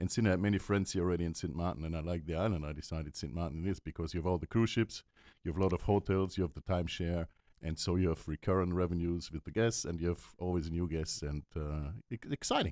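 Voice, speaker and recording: A man's very deep, low voice with a dark, mellow tone, very fast pace and fairly even intonation, in dry, close sound with no echo on a very clean recording with a silent background. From Germany. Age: 60s. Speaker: boat charter owner. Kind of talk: radio interview.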